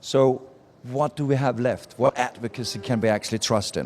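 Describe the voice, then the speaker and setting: Here a man speaks with a Danish accent. His intonation is fairly even, and his pace is moderate. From Denmark. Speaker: marketing speaker and author. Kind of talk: live talk to audience. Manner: casual, conversational.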